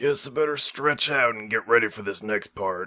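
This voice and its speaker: Using a put-on character voice, a man sounds raspy at a medium pitch and a moderate pace. His loudness swings widely. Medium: read story. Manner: blunt, casual.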